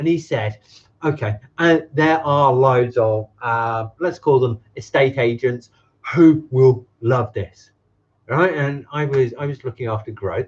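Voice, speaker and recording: Somewhat breathy, this man speaks at a medium pitch. His pace is very slow, with ordinary pitch variation. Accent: English. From England. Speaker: business consultant. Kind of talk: live stream talk to camera. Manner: casual, energetic, profane.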